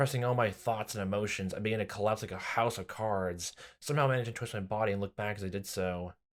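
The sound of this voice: An unforced reading voice carries the whole clip.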